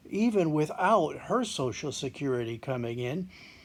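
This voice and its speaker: A man with an American accent speaks at a moderate pace and a fairly high pitch, his pitch swinging very widely on a very clean recording with a silent background. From East Texas. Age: 70s. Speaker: retiree. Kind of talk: customer testimonial.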